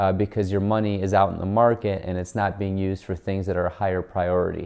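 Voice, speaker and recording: Against a quiet background, a man with an unremarkable speaking voice talks at a fairly quick pace in a fairly low pitch. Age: 30s. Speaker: personal finance YouTuber. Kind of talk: educational video monologue. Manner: casual, filler words like so and um. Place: home room.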